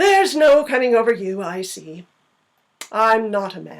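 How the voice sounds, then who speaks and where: A woman uses a put-on character voice at a fairly high pitch. Her pace is moderate. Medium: read story. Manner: dry, curt.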